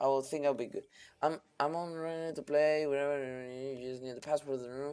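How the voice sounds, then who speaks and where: A man with a Spanish accent, fairly high in pitch, talking at a fairly quick pace in a flat monotone. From Canary Islands, Spain. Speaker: pro gamer and streamer. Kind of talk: live stream coaching feedback. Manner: halting, with fillers and restarts.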